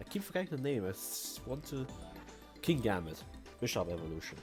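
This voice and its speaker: Over music in the background, a man talks at a fairly quick pace in a medium pitch. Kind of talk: casual gaming commentary.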